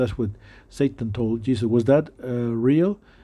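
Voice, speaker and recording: A dark, mellow tone carries ordinary pitch variation at a moderate pace. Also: man. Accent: non-native. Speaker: preacher. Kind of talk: sermon. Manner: halting, many fillers.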